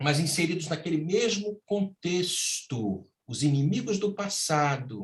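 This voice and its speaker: A somewhat breathy voice moves through very wide pitch swings at a very slow pace. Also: man. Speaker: spiritist lecturer. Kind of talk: lecture. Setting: virtual talk. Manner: emotional, impassioned.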